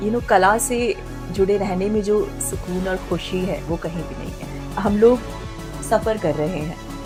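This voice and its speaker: A woman talks over background music. Her medium pitch shifts in an ordinary way. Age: 30s. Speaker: anchor and voice dubbing artist. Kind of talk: interview answer.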